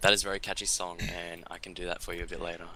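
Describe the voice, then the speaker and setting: A man with a very deep, low pitch, a bright, sharp tone, and an Australian accent. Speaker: esports commentator. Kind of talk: live commentary.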